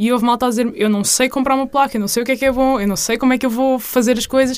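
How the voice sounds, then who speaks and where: A woman talks with a high pitch. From central Portugal, Leiria district. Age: 20s. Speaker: university student. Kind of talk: casual interview.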